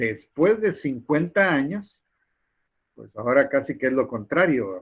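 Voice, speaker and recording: At a fairly slow pace, a man speaks with very wide pitch swings and big swings in loudness. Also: fairly high pitch for a man. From Guatemala. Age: 60s. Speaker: university lecturer. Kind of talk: lecture. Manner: halting, with frequent repetitions and fillers.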